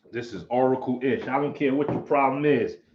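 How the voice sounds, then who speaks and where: In a New York accent, this voice has an animated tone and ordinary pitch variation. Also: man. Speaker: martial arts teacher, livestream host. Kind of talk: casual livestream chat.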